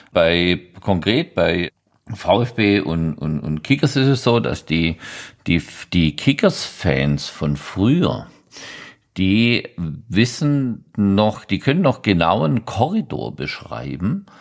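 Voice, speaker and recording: Vocal fry runs through a man's fairly low voice. He talks at a very slow pace with very wide pitch swings. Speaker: football writer and blogger. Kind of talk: casual chat. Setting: remote call.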